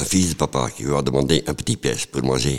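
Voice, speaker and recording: Vocal fry colors a man's very deep, low voice as he speaks at a fairly slow pace with ordinary pitch variation. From Flanders, Belgium. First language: Dutch (speaking French). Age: 60s. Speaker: sculptor, former street person. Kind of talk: life-story interview. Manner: halting.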